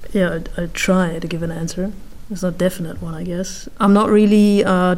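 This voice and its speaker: Speaking at a moderate pace with ordinary pitch variation, a woman with a German accent has a medium pitch, and the room echo is audible. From northeast Germany, rural Baltic coast. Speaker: corporate procurement manager. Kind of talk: interview.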